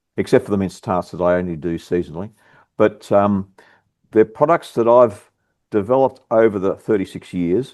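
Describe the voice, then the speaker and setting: Speaking with an Australian accent, a man talks at a moderate pace and fairly low pitch with ordinary pitch variation. The background is quiet. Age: 60s. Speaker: bakery business owner. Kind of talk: casual chat. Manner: halting.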